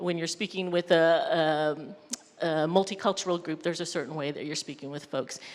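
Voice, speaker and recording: In a plain, everyday voice, a fairly low-pitched woman with an American accent speaks at a fairly quick pace, her intonation fairly even and her loudness swinging widely. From Mexican American community. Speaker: mental health professional. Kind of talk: panel discussion.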